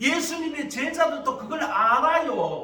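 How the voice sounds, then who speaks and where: Over noticeable background noise and audible room echo, a man with a strong Gyeongsang accent speaks at a fairly slow pace in a raised, projected voice. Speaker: pastor. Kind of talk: sermon.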